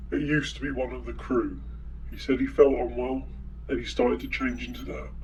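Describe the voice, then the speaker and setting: A man's put-on character voice, fairly quick, over clear background noise. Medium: audio drama. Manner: stammering, nervous.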